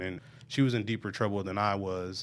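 At a fairly quick pace, a man with an American accent speaks in a fairly low pitch. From Omaha, Nebraska (North Omaha). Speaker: juvenile probation officer. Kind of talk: interview, personal story. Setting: studio.

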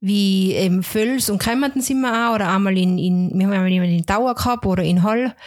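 At a moderate pace, a woman with an unremarkable speaking voice talks in a medium pitch with ordinary pitch variation, on a very clean recording with a silent background. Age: 30s. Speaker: home care nurse. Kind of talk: interview.

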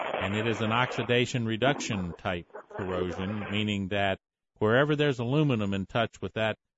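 Speaking with a fairly low pitch for a man, he goes at a moderate pace and varies his pitch in an ordinary way. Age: 60s. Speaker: radio host. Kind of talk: call-in radio show.

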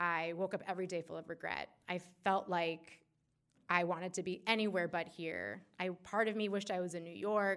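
At a moderate pace, a woman of medium pitch uses a normal speaking voice with fairly even intonation. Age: 20s. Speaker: storyteller. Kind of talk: personal storytelling. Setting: stage with audience.

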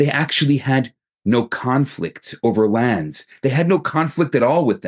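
Vocal fry in a man's voice, plus ordinary pitch variation. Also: medium pitch for a man, moderate pace. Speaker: rabbi. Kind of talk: recorded sermon. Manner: calmer than usual delivery.

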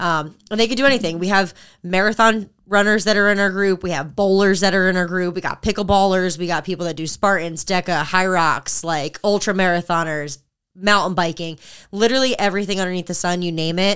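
In a very clean recording with a silent background, a woman talks at a fairly quick pace with a medium pitch and fairly even intonation. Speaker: fitness podcast co-host and group training coach. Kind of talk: casual chat. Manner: loud.

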